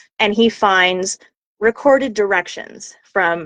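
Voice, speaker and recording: Recorded with a dry, close sound and no echo, a woman with an American accent speaks at a medium pitch with ordinary pitch variation. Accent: Oklahoma accent trained away. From Oklahoma, US. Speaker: voice actor. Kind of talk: casual interview chat. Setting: live video call.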